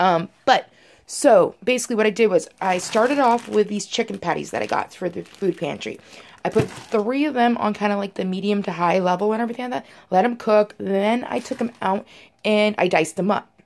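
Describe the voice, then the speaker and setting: A woman speaks at a fairly quick pace. Her pitch variation is ordinary. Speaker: home cook vlogger. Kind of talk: casual vlog chat. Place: kitchen. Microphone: phone near.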